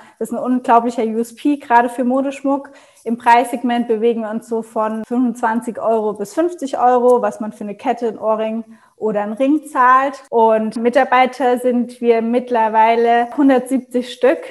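At a fairly slow pace, a woman with a high pitch speaks with fairly even intonation. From Germany, Mannheim region. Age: 20s. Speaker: entrepreneur. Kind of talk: interview.

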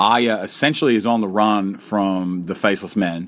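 Pitched fairly low, a man's voice moves with ordinary pitch variation. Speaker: podcast host. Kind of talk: solo podcast monologue. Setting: hotel room. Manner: fast; halting, many fillers and repeats.

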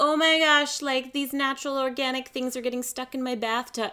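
A female-sounding put-on character voice, whiny and high-pitched. It moves at a fairly quick pace. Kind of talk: casual, valley-girl-like. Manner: mocking, whiny.

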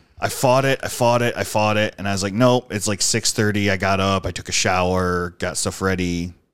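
A man's intonation stays fairly even as he talks at a fairly quick pace. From Western New York (Dunkirk, south of Buffalo). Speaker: army veteran. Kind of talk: casual chat. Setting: studio.

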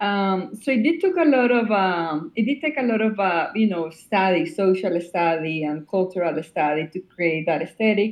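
The speaker has a Spanish accent and moves at a moderate pace. The intonation is lively. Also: woman, medium pitch for a woman. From Colombia. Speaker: cinematographer. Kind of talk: interview. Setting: remote call.

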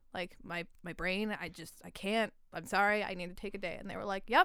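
A woman speaks with a Canadian accent. Her intonation stays fairly even. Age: 20s. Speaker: podcast co-host. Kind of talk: casual chat.

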